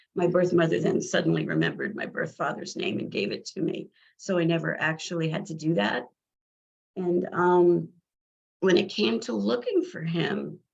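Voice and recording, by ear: In a put-on character voice, a woman speaks at a moderate pace, raspy and fairly low in pitch.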